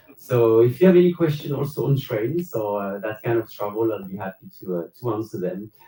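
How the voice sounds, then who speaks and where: Fairly quick, lively speech in a French accent, with big swings in loudness and hardly any pauses. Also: man, medium pitch for a man. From France. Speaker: cruise passenger, railway worker. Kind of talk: live panel Q&A. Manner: hesitant with fillers.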